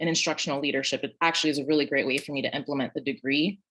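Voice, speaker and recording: The background stays quiet. Against it, a woman talks with an American accent. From Brooklyn, New York. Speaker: teacher. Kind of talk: panel discussion.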